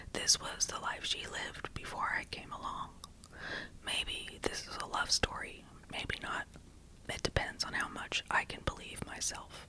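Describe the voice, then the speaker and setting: A woman is whispering at a fairly slow pace with noticeable background noise behind her. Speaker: true crime ASMR creator. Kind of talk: whispered ASMR audiobook reading of a novel. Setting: home recording with some background noise. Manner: whispered, soft, slow.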